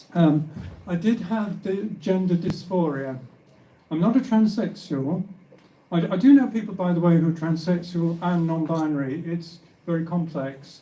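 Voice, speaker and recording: The speech moves at a moderate pace with ordinary pitch variation, and audible room echo can be heard. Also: man, high pitch for a man. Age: 70s. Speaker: author. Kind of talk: personal testimony; reading aloud.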